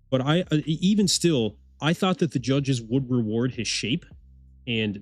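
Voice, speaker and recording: A man at a medium pitch with an Eastern Canadian accent, lively intonation and a moderate pace, with music in the background. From Eastern Canada. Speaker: bodybuilding livestream host. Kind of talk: live watch-along commentary. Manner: animated, casual.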